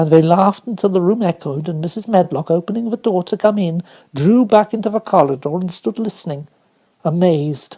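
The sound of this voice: In an unforced reading voice, the speaker uses ordinary pitch variation against a quiet background.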